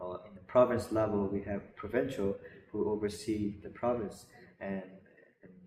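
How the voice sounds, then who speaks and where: A man with a slight Burmese accent speaks at a moderate pace in a fairly low voice with fairly even intonation. His loudness swings widely, and he leaves long, frequent pauses. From Burma. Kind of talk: interview. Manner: halting, many repeated words.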